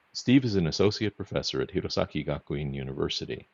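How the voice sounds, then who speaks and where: Vocal fry marks a man's voice as he talks at a fairly quick pace with lively intonation. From US, Boston. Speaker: podcast co-host. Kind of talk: podcast interview. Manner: reading introductions.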